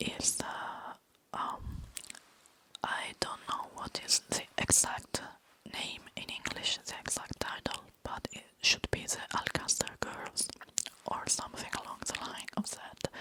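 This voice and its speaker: A very slow whisper against noticeable background noise. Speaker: ASMR creator. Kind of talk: ASMR chatty review. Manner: whispered.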